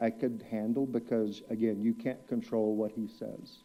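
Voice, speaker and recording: This man has a medium-pitched voice with a dark, mellow tone. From West Texas. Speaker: public commenter. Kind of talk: public comment at council meeting. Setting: city council chamber.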